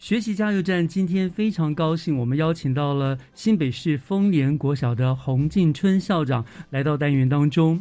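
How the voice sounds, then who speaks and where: A man speaks at a moderate pace with hardly any pauses, his fairly high pitch carrying a dark, mellow tone, ordinary pitch variation and very even loudness. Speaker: radio host. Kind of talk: radio interview.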